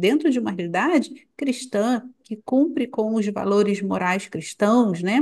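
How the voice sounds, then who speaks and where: A woman's fairly high-pitched voice with lively intonation at a fairly slow pace. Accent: Rio de Janeiro. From Brazil, Rio de Janeiro. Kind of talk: casual chat.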